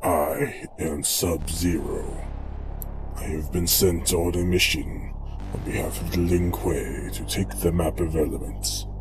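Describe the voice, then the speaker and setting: Over loud background noise, a man performs a put-on character voice at a very deep, low pitch. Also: fairly slow pace. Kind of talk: audio drama dialogue.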